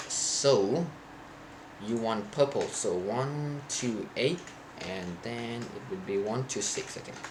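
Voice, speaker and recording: Over noticeable background noise and audible room echo, a man speaks very slowly at a medium pitch, with lively intonation and big swings in loudness. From Thailand. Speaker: programming streamer. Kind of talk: live coding stream.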